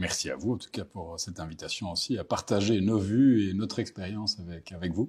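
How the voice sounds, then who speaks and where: A man with a slight Belgian accent speaks at a fairly quick pace in a somewhat breathy, fairly low voice, with ordinary pitch variation, big swings in loudness and hardly any pauses. The recording is very clean, with a silent background. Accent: subtle Belgian. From Belgium, Brussels. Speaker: market strategist. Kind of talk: interview. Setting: bank office in Paris.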